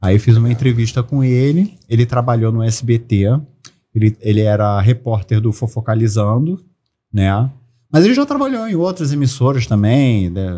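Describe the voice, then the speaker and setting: A man with a dark, mellow tone, somewhat breathy, talks at a moderate pace with ordinary pitch variation. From Brazil. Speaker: celebrity lookalike actor and comedian; celebrity lookalike actor, comedian. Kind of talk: casual chat. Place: studio. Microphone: studio mic.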